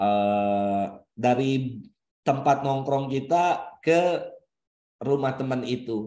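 At a very slow pace, a man speaks at a medium pitch with ordinary pitch variation and a dark, mellow tone. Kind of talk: religious talk. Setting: video call. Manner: animated, humorous.

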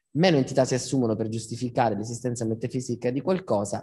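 A man speaks at a very fast pace with a dark, mellow tone that is somewhat breathy. His pitch is medium with ordinary variation. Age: 30s. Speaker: philosopher and lecturer; speaker. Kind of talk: public talk. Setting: stage with live audience. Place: hall. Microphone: handheld.

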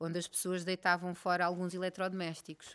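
At a moderate pace, a woman talks in a fairly low pitch. It is an ordinary speaking voice. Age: 30s. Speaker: actress and former model; actress. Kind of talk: casual interview. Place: studio. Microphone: studio mic.

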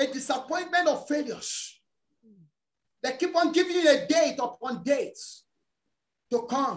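At a moderate pace, a man talks. He leaves long, frequent pauses. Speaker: preacher. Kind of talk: fervent prayer and deliverance declarations; fervent prayer sermon. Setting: church. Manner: loud, commanding, fiery. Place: home room. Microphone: video call.

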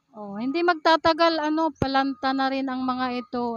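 This woman speaks at a fairly slow pace in a high pitch, with ordinary pitch variation. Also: dry, close sound with no echo. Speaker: vlogger. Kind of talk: casual vlog narration. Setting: outdoors.

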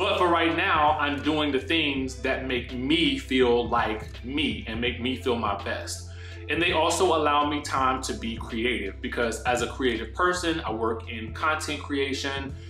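Faint music plays in the background as a man talks at a fairly slow pace amid audible room echo. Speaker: content creator. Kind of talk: casual vlog chat. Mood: candid, a bit stressed. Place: home room. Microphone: earbuds.

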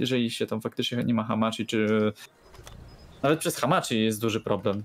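The speaker is a man. He talks with a Polish accent. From Poland. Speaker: game streamer. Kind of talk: casual chat. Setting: live stream. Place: home room. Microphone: studio mic.

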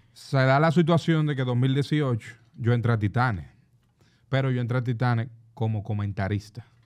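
A man with a plain, everyday voice speaks at medium pitch and a moderate pace against a quiet background. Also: ordinary pitch variation. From Dominican Republic, Santo Domingo; Dominican Republic. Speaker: basketball play-by-play announcer. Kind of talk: casual chat. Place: studio. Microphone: studio mic.

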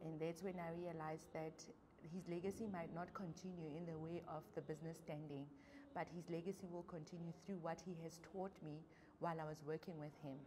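Amid noticeable background noise, a woman with a fairly low pitch speaks at a fairly quick pace in a somewhat breathy voice with monotone, flat intonation. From South Africa, Free State. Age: young. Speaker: small business owner. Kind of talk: interview testimony. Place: studio.

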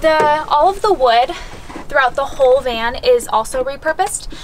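A woman talks at a moderate pace with ordinary pitch variation. Light background noise can be heard. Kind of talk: casual vlog chat. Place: car. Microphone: camera far.

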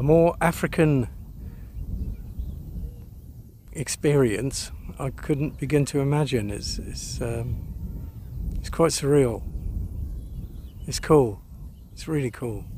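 Over light background noise in a dry sound with no echo, a man speaks at a very slow pace with long, frequent pauses and big swings in loudness. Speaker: travel vlogger. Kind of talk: casual vlog chat. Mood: amused, enthusiastic. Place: open country. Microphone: phone near.

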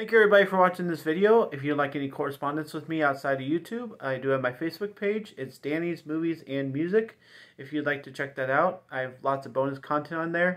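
A man talks at a fast pace with a fairly high pitch. His tone is fairly bright, with ordinary pitch variation.

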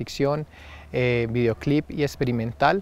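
A man with a medium pitch talks at a moderate pace with fairly even intonation. The sound is dry with no echo. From Antioquia, Colombia. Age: young. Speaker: filmmaker; guest. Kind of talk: interview. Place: garden. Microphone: lapel.

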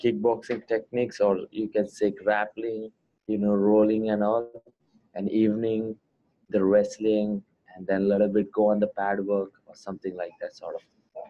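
With an Indian accent, a man speaks at a moderate pace in a fairly low pitch and a monotone, flat intonation. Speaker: MMA fighter. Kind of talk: interview. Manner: hesitant, many fillers. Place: home room. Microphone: earbuds.

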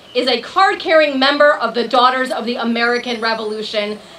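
A woman's high-pitched voice moves at a moderate pace against noticeable background noise. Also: hardly any pauses. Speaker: attorney. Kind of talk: speech. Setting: stage with audience. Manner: animated.

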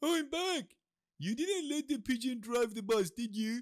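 A man puts on a cartoonish character voice at an extremely high pitch, speaking at a moderate pace. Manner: cheerful, casual.

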